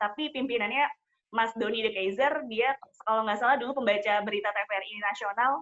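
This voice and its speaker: Her fairly high-pitched voice moves at a fairly quick pace, and this woman keeps a fairly even intonation. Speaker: wedding MC. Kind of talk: interview. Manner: formal.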